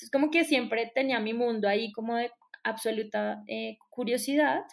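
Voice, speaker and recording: A woman with a Colombian accent speaks at a fairly high pitch. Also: very clean recording, silent background. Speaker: astrologer. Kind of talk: interview.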